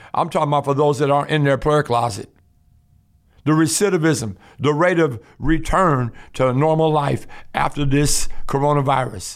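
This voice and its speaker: In an unremarkable speaking voice, a man talks at a moderate pace with a fairly high pitch and ordinary pitch variation. His loudness is very even, and the recording is very clean with a silent background. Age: 60s. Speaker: ministry leader and preacher. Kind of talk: sermon.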